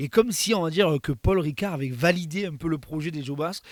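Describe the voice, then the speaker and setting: A man speaks in a plain, everyday voice at a fairly high pitch and a fairly quick pace. His pitch varies in an ordinary way, and the sound is dry and close with no echo. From southern France. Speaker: content creator. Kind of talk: interview.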